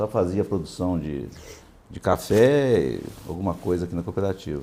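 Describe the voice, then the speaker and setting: Very deep and low, this man's voice has a dark, mellow tone. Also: lively intonation, moderate pace. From southern Minas Gerais, Brazil (São Gonçalo do Sapucaí). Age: 70s. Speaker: cooperative vice-president and coffee farmer. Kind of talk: casual interview. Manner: halting.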